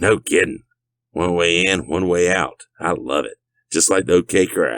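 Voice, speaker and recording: A man puts on a raspy character voice with a very deep, low pitch. He talks at a moderate pace with ordinary pitch variation. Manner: cocky.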